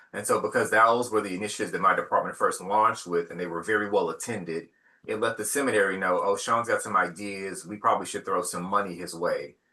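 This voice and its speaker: A man talking at a very fast pace with hardly any pauses. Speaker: seminary associate dean. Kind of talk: casual discussion.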